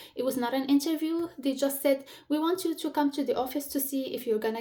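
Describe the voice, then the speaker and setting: Speaking at a fairly quick pace, a woman with an Arabic accent uses a high pitch and fairly even intonation. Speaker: career advice vlogger. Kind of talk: casual advice talk to camera. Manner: searching for words, some pauses.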